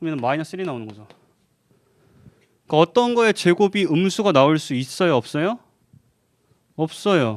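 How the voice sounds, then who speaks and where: The speaker moves at a fairly quick pace with very wide pitch swings. The sound is dry and close, with no echo. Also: man. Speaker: math lecturer. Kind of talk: lecture. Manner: fast.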